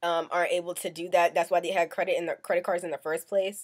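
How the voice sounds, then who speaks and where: This woman talks at a very fast pace in a medium pitch. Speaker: beauty and lifestyle YouTuber. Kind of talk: casual explainer vlog. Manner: casual, filler-heavy (um, like).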